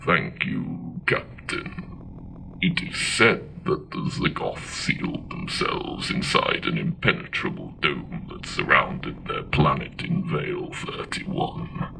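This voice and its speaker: A man puts on a character voice and speaks at a fairly slow pace. Background noise is clear. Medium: audio drama.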